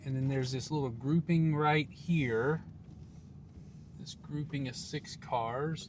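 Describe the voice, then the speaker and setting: Speaking very slowly, a man has a somewhat breathy voice. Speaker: car camping vlogger. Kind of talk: casual vlog narration. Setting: in a car at night. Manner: whispering; hesitant, many fillers.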